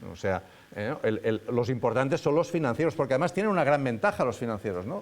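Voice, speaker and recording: Lively intonation marks this man's speech. His pitch is medium. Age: 60s. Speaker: professor. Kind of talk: lecture. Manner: informal, halting with many fillers.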